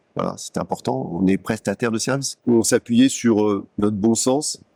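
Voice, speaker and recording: This man's pitch varies in an ordinary way. The recording is dry and close, without any echo. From Paris, France. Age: 60s. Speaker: business executive. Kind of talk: interview testimony. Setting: company showroom. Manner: hesitant with frequent fillers and repetitions.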